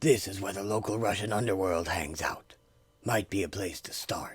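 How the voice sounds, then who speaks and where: A man puts on a raspy character voice, fairly low in pitch with ordinary pitch variation. He goes at a moderate pace with big swings in loudness. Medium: audio drama. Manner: clipped, cold.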